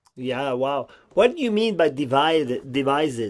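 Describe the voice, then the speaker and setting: In a Quebec accent, a man speaks at a fairly slow pace with a fairly high pitch and lively intonation. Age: 50s. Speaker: clown school director. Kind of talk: interview.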